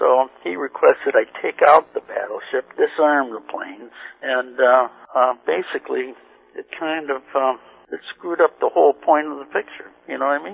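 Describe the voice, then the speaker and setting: A man's voice at a moderate pace, with big swings in loudness. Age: 60s. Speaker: pinball artist. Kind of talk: interview. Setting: phone call.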